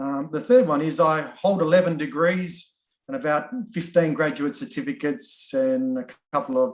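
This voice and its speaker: Pitched fairly high, a man talks at a moderate pace with very wide pitch swings. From Australia. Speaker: workshop facilitator. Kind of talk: online workshop icebreaker. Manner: halting.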